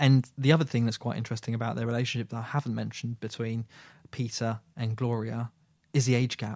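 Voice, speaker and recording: Here a man talks at a medium pitch. The recording is very clean, with a silent background and a dry, close sound with no echo. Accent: British. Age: 30s. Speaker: film podcast host. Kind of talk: casual chat. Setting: studio.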